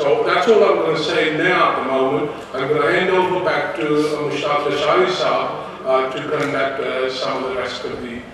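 A man's fairly high-pitched voice at a moderate pace, with strong room echo and light background noise. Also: ordinary pitch variation. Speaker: meeting chairman. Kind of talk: meeting chairing. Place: hall.

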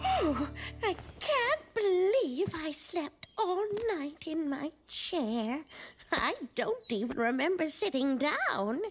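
A put-on character voice, female-sounding and pitched extremely high, speaks at a very slow pace in a cheerful tone with faint music in the background. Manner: cheerful, fluttery, chatty.

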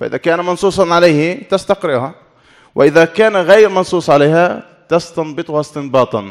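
A man's normal speaking voice, fairly high in pitch, with ordinary pitch variation at a moderate pace over a quiet background. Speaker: Islamic studies scholar; conference speaker. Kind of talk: conference talk. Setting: academic conference hall. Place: hall. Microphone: podium.

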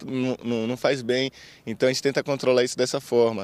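Dry and without any echo, the recording carries a man's voice. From Bahia, Brazil (Recôncavo Baiano); Bahia, Brazil. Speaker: Olympic boxer. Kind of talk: interview. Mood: relaxed, smiling, light-hearted. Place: street. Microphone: handheld.

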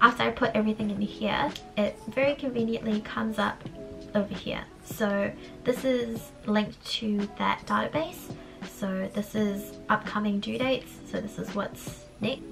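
Music plays behind a woman speaking at a moderate pace. Her fairly high pitch stays fairly even. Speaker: university student. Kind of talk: casual talk to camera.

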